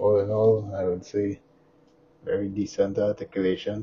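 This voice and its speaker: Soft-spoken and at a fairly slow pace, a man talks over light background noise. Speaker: toy reviewer. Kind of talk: product review.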